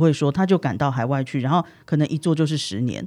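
Fairly quick speech comes through against a quiet background. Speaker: overseas worker and Chinese language teacher. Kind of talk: casual interview chat.

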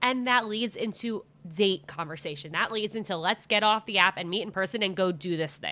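This is a plain, everyday voice at a fairly quick pace. Its pitch varies in an ordinary way. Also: woman, medium pitch for a woman. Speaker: podcast host. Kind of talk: casual chat.

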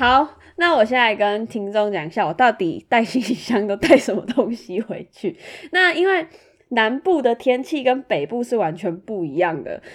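Her fairly high voice swings very widely in pitch as this woman talks at a moderate pace. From Taiwan, Tainan. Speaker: podcast co-host. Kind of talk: casual chat.

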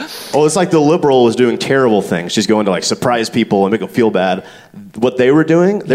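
The speaker, in an American accent, talks very fast with very wide pitch swings. Background noise is noticeable. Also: man. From US South, Stone Mountain, Georgia. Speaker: comedian and writer. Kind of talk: live podcast banter on stage. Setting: stage with live audience.

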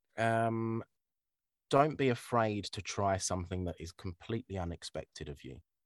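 Speaking at a moderate pace with lively intonation, a man with a fairly low pitch and a southern English accent is heard on a very clean recording with a silent background and a dry, close sound with no echo. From Kent, southern England. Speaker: voiceover artist. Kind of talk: casual chat. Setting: home studio.

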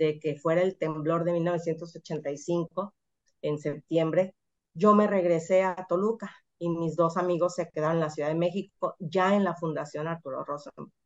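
This is a woman with a normal speaking voice. Her pitch is fairly low and her pace fairly slow. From Mexico, Mazatlán, Sinaloa. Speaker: computer science professor and researcher. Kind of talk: interview.

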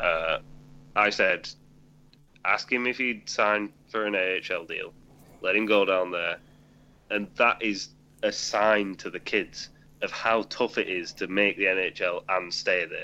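A man speaks at a very slow pace. He leaves long pauses, and they come often. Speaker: hockey podcast co-host. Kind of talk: casual chat. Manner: joking.

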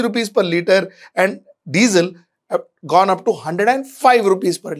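With an Indian accent and lively intonation, a man speaks at a moderate pace on a very clean recording with a silent background. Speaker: managing editor and commentator. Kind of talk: video editorial commentary.

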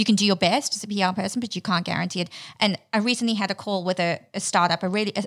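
Over a silent background in a very clean recording, a woman with a medium-pitched voice talks at a very fast pace. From South Africa, Johannesburg. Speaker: PR agency founder. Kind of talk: interview.

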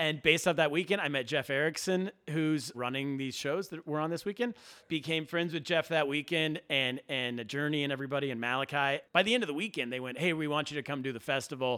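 In an American accent, a man with a fairly high voice speaks at a very fast pace with ordinary pitch variation. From California (Sacramento). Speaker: comedian. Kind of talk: casual chat. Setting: backstage studio.

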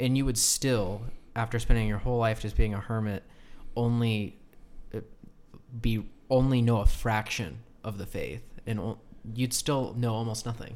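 The speaker keeps a moderate pace and fairly even intonation, with long, frequent pauses. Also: man, medium pitch for a man. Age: 20s. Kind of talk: casual chat.

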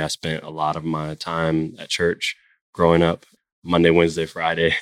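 In a very clean recording with a silent background and a dry, close sound with no echo, a man with an American accent speaks in a very deep, low pitch at a moderate pace, his intonation monotone and flat and his loudness swinging widely. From Florida, Jacksonville. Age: 30s. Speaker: startup founder. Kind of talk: interview conversation.

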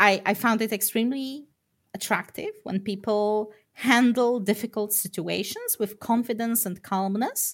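A woman with an ordinary speaking voice and fairly high pitch talks at a fairly slow pace in a very clean recording with a silent background. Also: fairly even intonation. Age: 30s. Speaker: programmer. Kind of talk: interview.

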